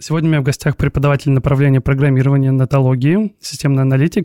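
Dark and mellow in tone, the voice races at a very fast pace with fairly even intonation and a dry, close sound with no echo. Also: man. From Russia. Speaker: podcast host. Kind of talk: casual interview chat.

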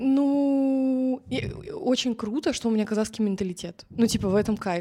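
A woman's dark, mellow voice at a fairly quick pace with ordinary pitch variation, in a very clean recording with a silent background. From Kazakhstan. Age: 20s. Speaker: TikTok creator. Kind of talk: casual chat.

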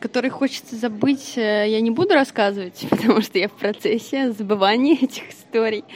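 Noticeable background noise accompanies a woman talking at a moderate pace with ordinary pitch variation. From Russia, Vladimir. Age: 20s. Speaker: bartender. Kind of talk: casual interview chat.

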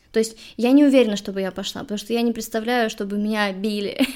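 Speaking at a very fast pace, a woman with a fairly high pitch keeps her intonation fairly even in a very clean recording with a silent background. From Russia, Saint Petersburg. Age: 30s. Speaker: podcast host and social media worker. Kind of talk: casual interview.

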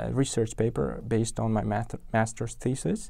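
A man of medium pitch with an Uzbek accent and ordinary pitch variation, on a very clean recording with a silent background. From Uzbekistan, Tashkent. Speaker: software engineer. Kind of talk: interview. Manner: halting, many repetitions and fillers.

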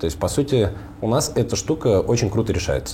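An ordinary speaking voice from a man, with lively intonation. He talks at a fairly quick pace. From Russian Far North, Komi (Vorkuta area). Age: 30s. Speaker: tech startup founder. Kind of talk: casual interview.

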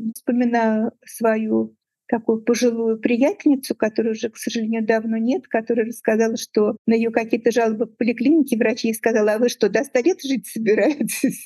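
Recorded dry and close with no echo, a woman speaks with a fairly high pitch and a dark, mellow tone. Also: fairly even intonation, moderate pace. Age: 70s. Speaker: university professor, microbiologist. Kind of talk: casual interview.

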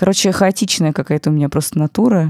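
A woman with a dark, mellow tone talks at a very fast pace, recorded with a dry, close sound and no echo. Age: 30s. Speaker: podcast producer and former business journalist. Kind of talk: casual chat.

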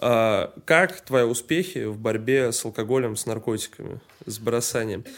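In a plain, everyday voice, a man talks at a moderate pace with a medium pitch and ordinary pitch variation. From Saint Petersburg, Russia. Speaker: podcast host. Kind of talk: casual chat.

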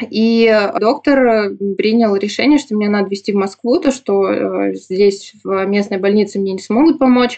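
Here a woman speaks at a fairly high pitch with ordinary pitch variation. Her tone is calm and her pace moderate. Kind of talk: interview testimony.

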